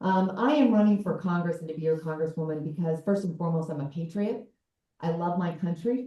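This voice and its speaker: Fairly low in pitch, with a dark, mellow, somewhat breathy tone, a woman with an American accent speaks at a fairly quick pace with ordinary pitch variation. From southern Colorado. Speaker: congressional candidate. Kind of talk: campaign speech at a town hall.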